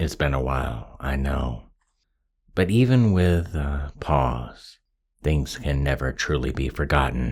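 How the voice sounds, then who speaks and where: Very slow and soothing in tone, a man speaks at a very deep, low pitch with ordinary pitch variation and vocal fry. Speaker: ASMR hypnosis roleplay creator. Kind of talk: hypnosis induction roleplay. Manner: slow, soothing.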